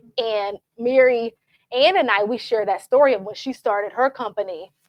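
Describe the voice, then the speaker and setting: A woman with a Southern US accent, fairly high in pitch, with ordinary pitch variation and a moderate pace. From US South, Atlanta. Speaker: tech sales professional, panelist. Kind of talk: panel discussion.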